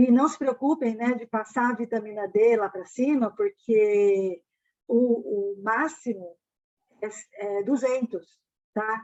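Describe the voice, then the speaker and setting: A woman with a dark, mellow tone and fairly high pitch speaks at a very slow pace. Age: 60s. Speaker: financial education mentor. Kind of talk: live stream Q&A. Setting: online live stream. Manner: casual, filler-heavy.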